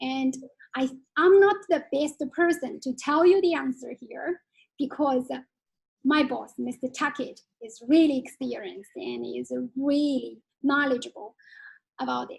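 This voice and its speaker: A woman with a Chinese accent speaks fairly slowly in a high voice, with long, frequent pauses. Her pitch varies in an ordinary way, while her loudness swings widely. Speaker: Chinese curriculum head teacher. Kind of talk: webinar Q&A answers. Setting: online webinar. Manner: halting.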